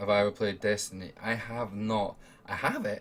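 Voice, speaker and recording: A man speaks in an Edinburgh accent. His fairly low voice stays flat and monotone. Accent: Scottish (Edinburgh). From Scotland, Edinburgh. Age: 20s. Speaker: gaming streamer and podcast host. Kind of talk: casual livestream chat. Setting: home room while streaming.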